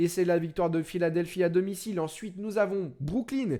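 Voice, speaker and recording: His pitch varies in an ordinary way. The man's voice is high-pitched. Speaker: NBA show host, streamer. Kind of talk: live stream sports talk show. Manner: fast.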